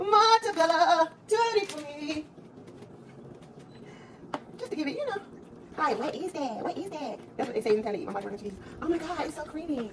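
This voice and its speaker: The speech races along at a very fast pace over noticeable background noise. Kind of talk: casual cooking vlog chat. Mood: joking, playful. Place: kitchen. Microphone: phone near.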